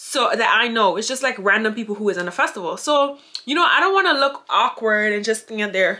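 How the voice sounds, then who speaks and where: Over noticeable background noise, an animated voice moves at a fairly quick pace. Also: woman. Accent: strong Grenadian. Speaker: YouTuber. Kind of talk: storytime vlog.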